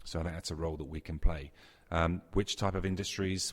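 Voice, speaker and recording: A man with a British accent, very deep, low pitch, somewhat breathy, fairly even intonation and a very fast pace, on a very clean recording with a silent background. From UK. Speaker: technology executive. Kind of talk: interview.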